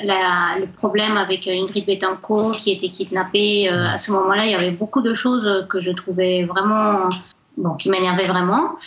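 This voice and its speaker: Against noticeable background noise, a woman talks fairly slowly at a medium pitch with fairly even intonation. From Colombia, Cali. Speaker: guest. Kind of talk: radio interview.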